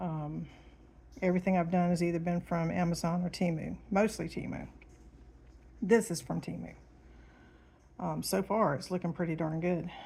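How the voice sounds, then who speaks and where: A woman's fairly low, somewhat breathy voice with a dark, mellow tone and monotone, flat intonation. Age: 50s. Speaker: diamond painting hobbyist and 911 dispatcher. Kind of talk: casual chat. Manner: hesitant, many ums.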